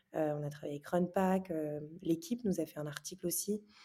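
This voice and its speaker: A woman with a very deep, low pitch speaks in a dark, mellow tone with fairly even intonation. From France, Normandy. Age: 20s. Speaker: startup founder and former athlete. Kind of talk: interview. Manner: hesitant, many fillers.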